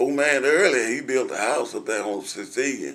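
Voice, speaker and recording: The delivery is very slow, with ordinary pitch variation. Room echo can be heard. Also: man. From US South. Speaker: oral history interviewee. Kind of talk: oral history interview. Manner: halting.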